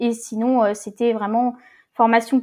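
A woman speaks fairly slowly at a fairly high pitch, her tone dark and mellow. The background is quiet. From Brittany, France (Rennes area). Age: 20s. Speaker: community manager. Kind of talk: casual interview. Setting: remote recording. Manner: hesitant, many fillers.

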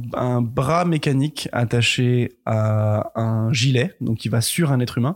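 Hardly pausing, a man speaks at a very slow pace with very even loudness, a medium pitch and ordinary pitch variation, on a very clean recording with a silent background. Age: 20s. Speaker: film grip. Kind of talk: casual chat. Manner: halting.

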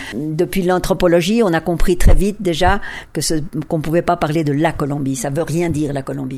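Her tone dark and mellow, a woman talks at a fairly quick pace in a fairly low pitch with ordinary variation. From France. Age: 70s. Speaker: feminist academic. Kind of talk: interview.

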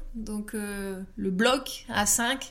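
Amid audible room echo, a woman with fairly high pitch speaks with fairly even intonation. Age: 30s. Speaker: astrologer. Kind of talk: personal interview testimony. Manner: hesitant, many fillers and repetitions.

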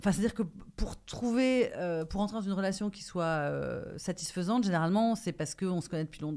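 Delivered at a moderate pace, this is a plain, everyday voice with ordinary pitch variation. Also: woman. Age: 40s. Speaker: actress and author. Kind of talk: casual chat.

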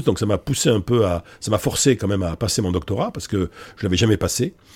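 This man's voice is fairly low in pitch, somewhat breathy, and dark and mellow in tone. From Bordeaux, France. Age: 60s. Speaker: psychology professor and public speaker. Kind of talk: casual interview. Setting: office. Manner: hesitant, many fillers.

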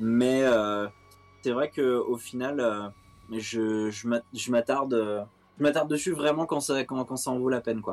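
The man's delivery is very slow. His intonation remains fairly even throughout. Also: medium pitch for a man. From France, Seine-et-Marne (77). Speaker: music journalist. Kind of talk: interview. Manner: halting, many repetitions.

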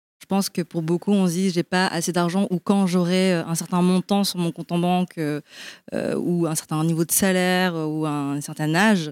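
Fairly low in pitch, a woman speaks in an ordinary speaking voice with fairly even intonation. The sound is dry and close, with no echo. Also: very clean recording, silent background. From Belgium. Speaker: marketing director at a sustainable investment platform. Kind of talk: panel discussion. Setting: live event with audience.

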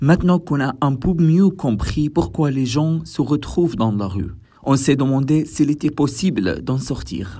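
Somewhat breathy and dark, mellow in tone, a man speaks at a fairly slow pace in a fairly high pitch with lively intonation. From Syria. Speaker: podcast co-host. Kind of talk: scripted narration.

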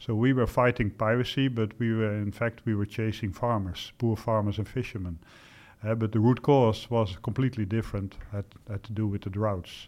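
Delivery is fairly quick in pace, while the intonation stays fairly even. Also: man, fairly low pitch for a man. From Netherlands. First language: Dutch. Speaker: retired general. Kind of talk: interview. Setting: studio. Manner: hesitant with fillers.

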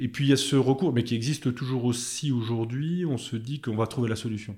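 On a very clean recording with a silent background, a man with a dark, mellow tone talks at a moderate pace with ordinary pitch variation. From Chablais, Haute-Savoie, France. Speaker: engineer and hydropower company founder. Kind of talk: podcast interview.

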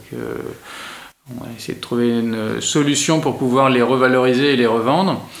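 Against noticeable background noise and audible room echo, a man talks at a moderate pace with a medium pitch and fairly even intonation. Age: 40s. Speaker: entrepreneur. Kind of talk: interview. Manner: hesitant, many fillers.

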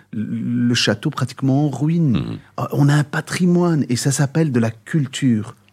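A man speaks fairly slowly at a medium pitch, with a dark, mellow tone and ordinary pitch variation. The recording is very clean, with a silent background. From Brussels, Belgium (Moroccan parents). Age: 50s. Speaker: singer and musician. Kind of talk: interview.

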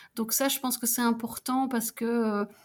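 Somewhat breathy, fairly high-pitched woman's voice with monotone, flat intonation at a fairly slow pace. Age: 40s. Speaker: civil servant and mature student. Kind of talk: casual interview. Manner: halting, many fillers.

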